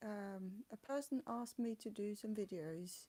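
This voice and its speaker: A woman with a non-native accent speaks in a dark, mellow tone. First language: not English. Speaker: vlogger with chronic illness. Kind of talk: personal vlog. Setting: home flat. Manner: halting.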